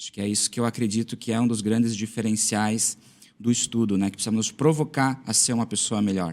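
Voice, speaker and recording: Speaking at a medium pitch, a man keeps his intonation fairly even. His pace is very fast. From southern Brazil, western Santa Catarina. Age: 30s. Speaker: school administrator and former teacher. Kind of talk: podcast interview.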